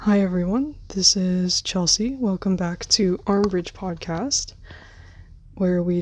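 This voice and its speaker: A quiet woman's voice with an American accent, medium in pitch with ordinary variation, at a moderate pace on a very clean recording with a silent background. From United States. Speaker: podcast host. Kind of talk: solo podcast monologue. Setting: filming on bed at night. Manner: quiet, keeping voice down.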